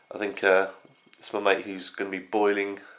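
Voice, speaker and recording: Moderate pace from a man with a British accent and a fairly low pitch. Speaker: vlogger. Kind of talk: casual vlog. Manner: rambling, hesitant.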